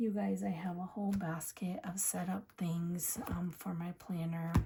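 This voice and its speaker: The speaker is soft-spoken, with fairly even intonation and a fairly slow pace. Background noise is noticeable. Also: woman, fairly low pitch for a woman. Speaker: planner youtuber. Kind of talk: casual chat. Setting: home at night.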